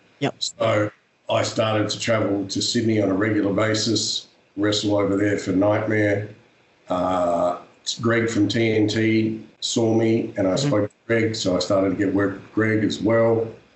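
Against noticeable background noise, a man with an Australian accent speaks at a fairly low pitch in a monotone, flat intonation. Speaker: professional wrestler and actor. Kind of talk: interview.

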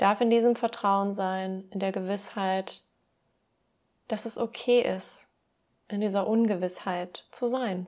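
A woman's medium-pitched, calm, warm voice in a flat monotone, very slow with long, frequent pauses, in a very clean recording with a silent background. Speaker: podcast host and mindset coach. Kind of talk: pep talk with affirmations read aloud, guided meditation style. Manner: calm, warm, soothing; slow, gentle, reassuring, encouraging.

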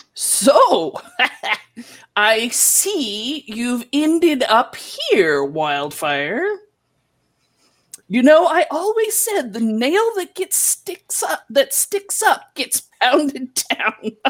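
A woman's put-on character voice, high-pitched, at a very slow pace with long, frequent pauses. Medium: actual play. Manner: scolding, lecturing.

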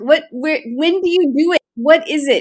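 A woman's raised, projected voice, fairly slow in pace, with lively intonation. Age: 60s. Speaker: podcast host. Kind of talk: casual chat, interview.

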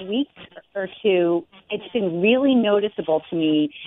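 A woman uses a normal speaking voice at medium pitch, with lively intonation and a fairly slow pace. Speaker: guest commentator. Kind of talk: interview discussion.

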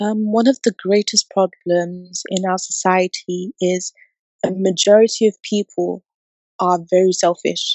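Her pitch is medium and her intonation fairly even. The woman speaks at a fairly slow pace. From England. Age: 20s. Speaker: young entrepreneur and mentor. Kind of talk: interview.

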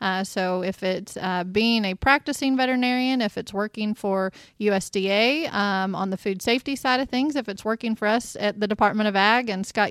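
A woman with an American accent and a normal speaking voice talks at a fairly quick pace in a medium pitch with fairly even intonation, on a very clean recording with a silent background and a dry, close sound with no echo. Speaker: state agriculture secretary, interviewer. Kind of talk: interview and casual chat. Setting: studio.

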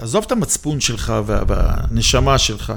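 A man's voice with noticeable background noise. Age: 60s. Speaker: real estate investment expert. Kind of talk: interview debate.

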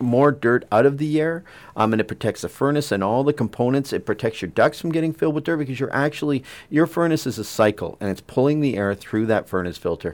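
On a very clean recording with a silent background, a man with an ordinary speaking voice and medium pitch talks at a fairly quick pace with lively intonation. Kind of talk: radiothon on-air chat, friendly pledge-drive banter offering giveaways. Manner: chatty, eager and jovial, overlapping in quick back-and-forth.

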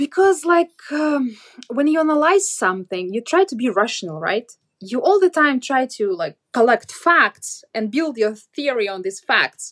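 Her voice sits high and moves through very wide pitch swings at a fairly slow pace, with a dry, close sound and no echo. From Russia. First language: Russian. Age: 30s. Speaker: blogger. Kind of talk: interview.

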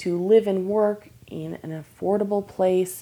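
In an American accent, a woman speaks at a medium pitch with a dark, mellow tone and fairly even intonation. The recording is very clean, with a silent background. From Michigan. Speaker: professional violinist. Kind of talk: casual interview.

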